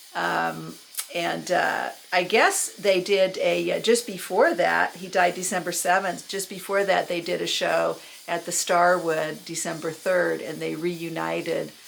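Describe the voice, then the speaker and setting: Against noticeable background noise, a woman with a Californian accent speaks at a fairly slow pace. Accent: General American (California). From Los Angeles, US West Coast. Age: 60s. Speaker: YouTuber recounting music memories. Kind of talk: casual monologue. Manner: halting, many fillers.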